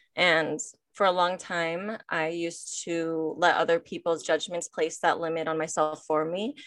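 Speaking at a fairly slow pace with an American accent, a woman has an unremarkable speaking voice, a fairly low pitch and fairly even intonation over a quiet background. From Michigan, US. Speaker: nonprofit staff member and podcast host. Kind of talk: interview.

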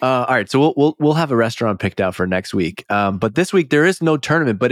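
In a very clean recording with a silent background, the sound is dry and close with no echo. A man with a plain, everyday voice talks at a fairly quick pace with lively intonation. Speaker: podcast host. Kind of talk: casual chat.

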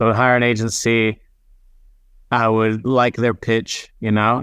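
A man at a medium pitch is recorded with a dry, close sound and no echo. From Israel and US. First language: not English. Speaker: content marketing director. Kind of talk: interview.

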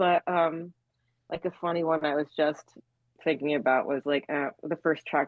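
A woman talks at a moderate pace in a normal speaking voice. Her intonation stays fairly even, and her pitch is fairly low. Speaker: band member. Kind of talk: casual interview chat.

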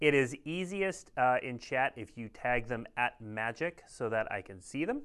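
In an American accent, a man of medium pitch uses a plain, everyday voice at a fairly slow pace with hardly any pauses, lively intonation and big swings in loudness. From Minnesota. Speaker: show host. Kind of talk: livestream host, card previews. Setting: livestream.

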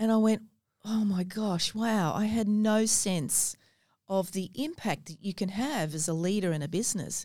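With an Australian accent and a dark, mellow tone, a woman speaks at a fairly slow pace and medium pitch with ordinary pitch variation, in a very clean recording with a silent background. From Australia, Gold Coast. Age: 50s. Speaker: businesswoman and mentor. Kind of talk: interview. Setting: studio.

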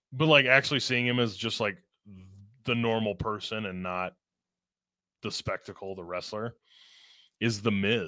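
Bright and sharp in tone, an American-accented voice moves at a moderate pace with ordinary pitch variation and long, frequent pauses, on a very clean recording with a silent background. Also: man, fairly low pitch for a man. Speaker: video game fan. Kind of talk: casual chat.

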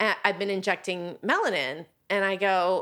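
In a very clean recording with a silent background, a woman with an American accent speaks at a medium pitch in a bright, sharp tone. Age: 50s. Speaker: author and publisher. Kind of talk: casual chat.

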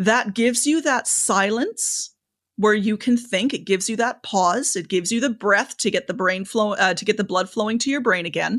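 A woman's fairly high-pitched, an unremarkable speaking voice at a moderate pace, with ordinary pitch variation. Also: quiet background. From Canada. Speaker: public speaking coach. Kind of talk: interview conversation, advice.

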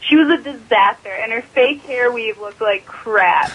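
A woman speaks at a moderate pace with lively intonation. Noticeable background noise is present. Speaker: caller. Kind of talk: casual chat. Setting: phone call.

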